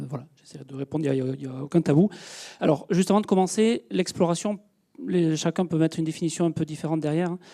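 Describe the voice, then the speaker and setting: A man's fairly high voice at a fairly quick pace, with ordinary pitch variation, dry and close with no echo. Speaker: space engineer, project manager. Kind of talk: public lecture. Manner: fast; hesitant, many fillers.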